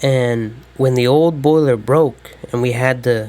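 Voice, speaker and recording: Against noticeable background noise, a man speaks at a fairly slow pace. His pitch is medium and his intonation fairly even. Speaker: YouTuber talking about his life. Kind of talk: scripted personal monologue. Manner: halting, stumbling.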